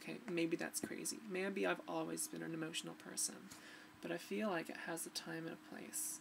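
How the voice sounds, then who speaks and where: A woman speaks at a moderate pace with noticeable background noise. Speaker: vlogger. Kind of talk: personal video diary. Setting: home recording to webcam. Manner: halting. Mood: emotional, reflective, somewhat subdued. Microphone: webcam.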